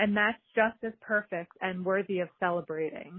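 With an American accent, a woman talks at a moderate pace in a plain, everyday voice, her pitch varying in an ordinary way. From New Jersey, Manahawkin. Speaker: NICU mother sharing message. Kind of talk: recorded message.

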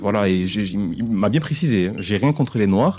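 Recorded very cleanly with a silent background, a man speaks fairly quickly in a fairly low, dark, mellow voice with ordinary pitch variation. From Mayotte. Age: 20s. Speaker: interviewee sharing personal story. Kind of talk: personal testimony. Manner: hesitant, many fillers.

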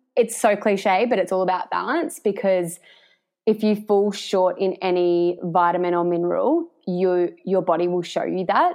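A woman with an Australian accent speaks at a moderate pace in a medium pitch, her intonation fairly even. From Australia, Victoria (Warrnambool). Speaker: naturopath and nutritionist. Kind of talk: casual interview.

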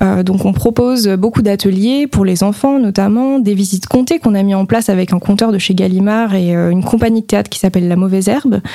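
Over noticeable background noise, a woman speaks at a fairly quick pace with hardly any pauses, using a medium pitch and ordinary pitch variation. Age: 20s. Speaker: museum manager. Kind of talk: radio interview. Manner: hesitant with many fillers.

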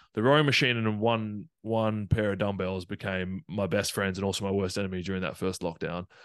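A man's Australian-accented voice, fairly low in pitch with ordinary pitch variation, at a moderate pace over a quiet background. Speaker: professional rugby player. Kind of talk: casual interview.

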